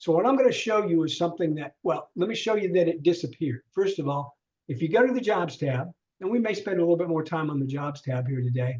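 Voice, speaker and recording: The man's pitch is high and his intonation lively. He talks at a very fast pace. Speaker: LinkedIn trainer. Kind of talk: online workshop.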